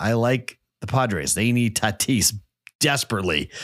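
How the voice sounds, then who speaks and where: An unremarkable speaking voice belonging to a man moves at a moderate pace with ordinary pitch variation, on a very clean recording with a silent background. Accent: American. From Boston. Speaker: sports betting podcast host. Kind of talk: solo betting picks podcast. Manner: casual, conversational.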